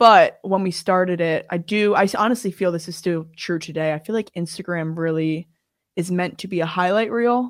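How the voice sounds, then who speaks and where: A woman with an unremarkable speaking voice at medium pitch, ordinary pitch variation and a moderate pace, in a very clean recording with a silent background. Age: 20s. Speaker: podcast co-host, university student. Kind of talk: casual chat.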